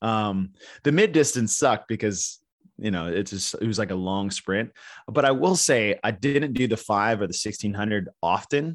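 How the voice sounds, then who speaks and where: A man talks in a normal speaking voice at a fairly low pitch. His pace is moderate and his pitch varies in an ordinary way. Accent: American. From Texas. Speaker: sports event commentator and gym owner. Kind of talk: casual interview chat.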